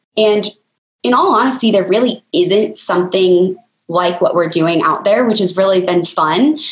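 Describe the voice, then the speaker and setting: A woman with a normal speaking voice talks at medium pitch and a moderate pace. Her intonation is lively, her loudness very even. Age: 20s. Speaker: business co-founder. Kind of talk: interview.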